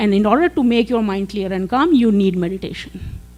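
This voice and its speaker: She speaks at a moderate pace and a medium pitch for a woman. Her pitch varies in an ordinary way. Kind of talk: presentation to teachers. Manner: hesitant with fillers.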